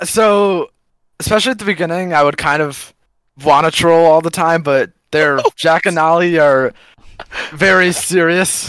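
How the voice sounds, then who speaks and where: At a moderate pace, a man with a high pitch keeps a fairly even intonation and leaves long, frequent pauses. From US Midwest, Chicago. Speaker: esports player. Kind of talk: casual chat.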